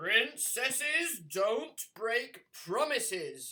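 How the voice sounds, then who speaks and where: In a put-on character voice, the speaker goes at a very slow pace with a fairly high pitch. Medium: read story.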